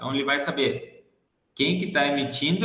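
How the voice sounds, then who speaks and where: Audible room echo follows a man whose pitch varies in an ordinary way. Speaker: teacher. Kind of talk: lecture. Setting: video call.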